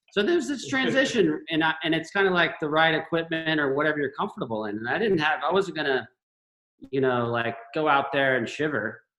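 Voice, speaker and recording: A man's normal speaking voice with an American accent, fairly high pitch, lively intonation and a fairly quick pace. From Florida, Gainesville. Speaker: surfer. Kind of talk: casual chat.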